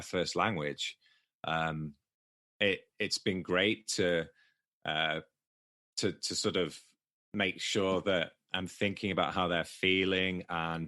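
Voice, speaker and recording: Over a quiet background, a man with a very deep, low pitch and a bright, sharp tone speaks with long, frequent pauses. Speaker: poker coach. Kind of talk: podcast interview. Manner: halting, many repeated words.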